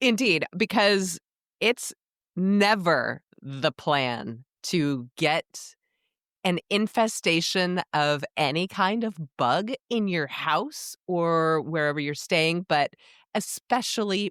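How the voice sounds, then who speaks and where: The speech moves at a very slow pace. The recording is very clean and dry, close-miked with no echo and a silent background. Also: woman. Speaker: podcast co-host. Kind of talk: casual chat.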